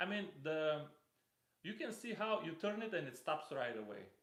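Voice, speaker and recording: A man with a non-native accent speaks at a moderate pace. His intonation is lively. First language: not English. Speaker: fishing reel reviewer. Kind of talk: live stream product unboxing. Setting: live stream. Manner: halting, with fillers.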